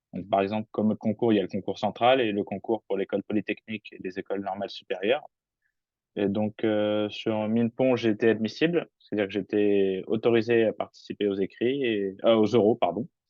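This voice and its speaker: The speaker uses a normal speaking voice with fairly even intonation. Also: man, fairly low pitch for a man. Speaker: engineering student. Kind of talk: webinar talk.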